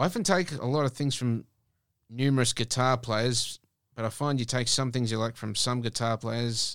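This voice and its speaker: An Australian accent at a moderate pace with fairly even intonation, in a very clean recording with a silent background. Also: man, medium pitch for a man. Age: 30s. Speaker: guitarist and musician. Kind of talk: casual radio interview.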